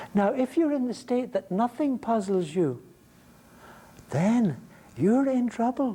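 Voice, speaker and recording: A man with an Irish accent speaks fairly slowly in an extremely high pitch, his tone dark and mellow and his intonation lively. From Ireland. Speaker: philosophy lecturer. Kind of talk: lecture. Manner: halting, frequent repetitions; animated.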